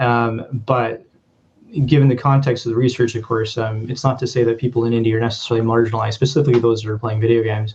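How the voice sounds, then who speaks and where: Speaking with a Canadian accent, this man has a medium pitch and a somewhat breathy sound. His intonation stays fairly even. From Canada, Vancouver (Punjabi heritage). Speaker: sociology lecturer, researcher. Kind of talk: academic talk with slides. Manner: hesitant, many fillers and repeats.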